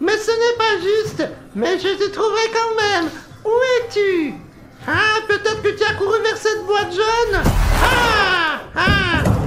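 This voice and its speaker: In a put-on character voice of extremely high pitch, the speaker moves at a fairly slow pace with long, frequent pauses over clear background noise. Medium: fan dub. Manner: playful, chatty, laughing often.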